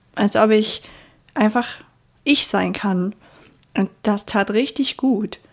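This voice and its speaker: A woman mumbling at a fairly high pitch, with fairly even intonation. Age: 20s. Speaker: podcast host. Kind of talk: casual monologue.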